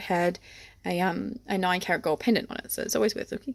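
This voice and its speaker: With an Australian accent, a woman talks at a very fast pace, her pitch medium and its variation ordinary. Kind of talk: unboxing haul video.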